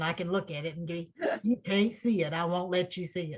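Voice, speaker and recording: A woman speaks at a moderate pace in a medium pitch. Her voice is somewhat breathy. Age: 70s. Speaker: writer. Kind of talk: casual chat. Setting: video call. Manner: animated.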